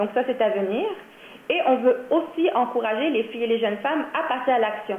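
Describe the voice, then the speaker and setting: A fairly quick delivery with ordinary pitch variation over noticeable background noise. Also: woman, high pitch for a woman. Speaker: workshop presenter for a nonprofit. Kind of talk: training presentation.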